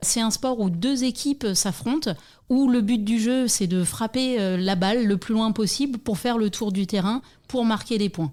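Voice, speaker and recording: A woman with a dark, mellow tone and fairly high pitch speaks at a fairly slow pace, with ordinary pitch variation and very even loudness. The recording is very clean, with a silent background. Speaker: softball coach and club secretary. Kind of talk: interview.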